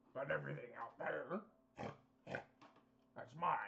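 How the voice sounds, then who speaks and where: This is a man's put-on character voice, raspy in sound. He keeps a moderate pace. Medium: actual play. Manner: glib, salesmanlike, chummy.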